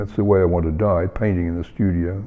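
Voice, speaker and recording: A man with a New Zealand accent talks with fairly even intonation. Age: 80s+. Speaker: painter. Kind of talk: interview. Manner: halting, many fillers.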